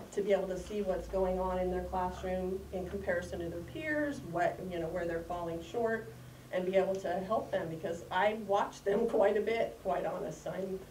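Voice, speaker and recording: A woman at a moderate pace, with hardly any pauses, ordinary pitch variation, audible room echo and light background noise. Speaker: grandparent giving public comment. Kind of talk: public comment. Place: hall. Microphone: camera far.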